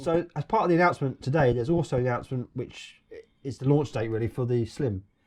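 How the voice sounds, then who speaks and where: A man with a British accent, somewhat breathy, at a very fast pace with ordinary pitch variation. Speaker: gaming vlogger. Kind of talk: casual podcast discussion.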